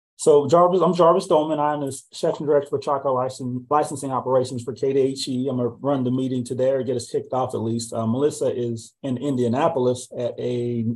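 A man talks at a fairly quick pace, keeping his intonation fairly even. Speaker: meeting host. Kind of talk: meeting opening remarks. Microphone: video call.

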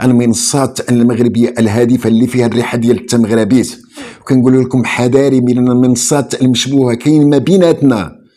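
A man with a plain, everyday voice speaks at a fairly quick pace and medium pitch, with fairly even intonation and very even loudness. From Morocco. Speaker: online show host; channel host. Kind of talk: political commentary. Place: home room.

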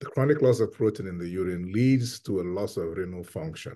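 A man talks at a fairly quick pace in a dark, mellow tone. The background is quiet. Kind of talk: interview answer. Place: home room. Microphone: video call.

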